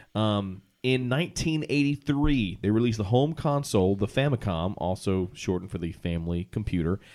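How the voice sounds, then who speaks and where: With a plain, everyday voice, a man talks at a fairly quick pace with hardly any pauses, lively intonation and a fairly low pitch, on a very clean recording with a silent background. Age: 30s. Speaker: podcast host. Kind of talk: casual chat.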